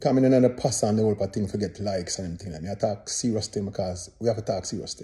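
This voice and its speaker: Talking very fast with a Jamaican accent, a man has a dark, mellow, somewhat breathy tone at a fairly low pitch, with ordinary pitch variation and big swings in loudness. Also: hardly any pauses. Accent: Jamaican Patois-inflected English. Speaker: dancehall singer and commentator. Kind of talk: casual commentary monologue. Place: home room. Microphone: phone near.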